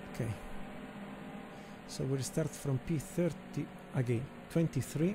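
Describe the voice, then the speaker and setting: The speaker has a non-native accent and talks at a fairly slow pace. Pitch variation is ordinary, with long, frequent pauses. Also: man, fairly high pitch for a man. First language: not English. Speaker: sim racing gamer. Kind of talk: gameplay commentary. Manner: halting.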